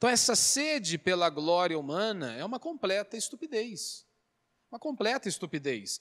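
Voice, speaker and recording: With very wide pitch swings, a man speaks high for a man at a moderate pace in a very clean recording with a silent background and a dry, close sound with no echo. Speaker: pastor. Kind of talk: sermon. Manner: conversational, frequent filler né and self-corrections.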